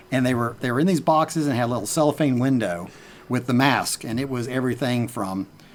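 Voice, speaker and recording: In an American accent, a man at medium pitch talks very fast with ordinary pitch variation. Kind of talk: casual chat. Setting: outdoors on a porch.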